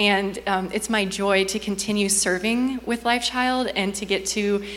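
A woman with a medium pitch and fairly even intonation talks while noticeable background noise carries on behind her. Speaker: missionary. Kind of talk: testimony. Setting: church.

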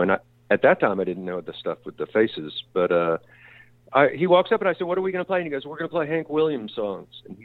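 A man with a Texan accent speaks with very wide pitch swings. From Texas, La Porte near Houston. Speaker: bass player. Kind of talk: casual interview. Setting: studio.

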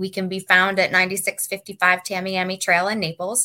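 Very slow and bright, sharp in tone, a woman at medium pitch speaks on a very clean recording with a silent background. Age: 40s. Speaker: wellness center owner. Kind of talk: interview.

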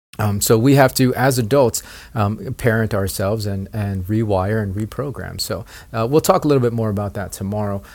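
The voice moves at a fairly quick pace. Its pitch variation is ordinary. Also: man, fairly low pitch for a man, very clean recording, silent background. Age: 40s. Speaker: podcast host, network marketing coach. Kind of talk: solo podcast monologue. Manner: halting, many fillers and repetitions.

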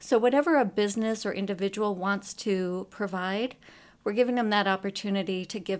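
In a normal speaking voice, a woman speaks at a medium pitch and a fairly quick pace, on a very clean recording with a silent background. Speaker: education foundation officer. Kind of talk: interview.

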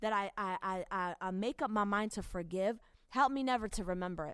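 On a very clean recording with a silent background, a woman talks at a fairly quick pace in an animated tone. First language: not English. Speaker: evangelist podcast host. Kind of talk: casual talk on marriage.

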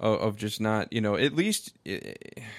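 The speech moves at a moderate pace. It is a very clean recording with a silent background. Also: man. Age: 40s. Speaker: pastor. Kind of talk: casual chat. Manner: halting.

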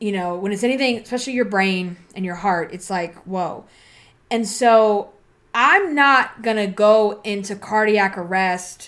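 A woman's plain, everyday voice at a medium pitch with ordinary variation, fairly slow pace, and a very clean recording with a silent background. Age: 40s. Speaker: podcast host and body image coach. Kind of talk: casual solo podcast monologue. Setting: home recording with laptop, poor audio. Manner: conversational, filler-heavy.

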